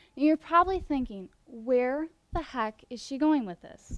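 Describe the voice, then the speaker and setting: On a very clean recording with a silent background and a dry, close sound with no echo, a woman with a slight Midwestern US accent talks at a moderate pace with ordinary pitch variation. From US Midwest. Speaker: student competition finalist. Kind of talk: prepared presentation.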